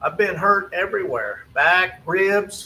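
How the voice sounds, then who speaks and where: A man speaks at a fairly slow pace in a raised, projected voice. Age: 60s. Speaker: fitness trainer for seniors. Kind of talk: casual live video talk. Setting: studio.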